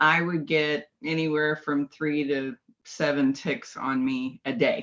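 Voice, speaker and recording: With an American accent, the speaker talks at a very slow pace and with fairly even intonation. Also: woman, very deep, low pitch for a woman. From California. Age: 50s. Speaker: biofeedback practitioner. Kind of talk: interview.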